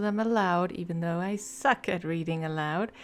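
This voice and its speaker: A soft-spoken woman with a non-native accent talks on a very clean recording with a silent background. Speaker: video game lore YouTuber. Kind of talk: casual intro before reading aloud.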